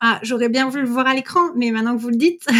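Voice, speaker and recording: On a very clean recording with a silent background, a woman speaks in a high-pitched voice. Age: 30s. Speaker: mother sharing her story. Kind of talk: interview testimony.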